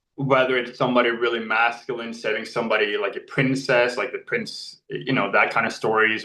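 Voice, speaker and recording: Intonation stays fairly even as a man speaks at a medium pitch. His pace is very fast. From Norway. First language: Norwegian. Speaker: actor. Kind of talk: interview.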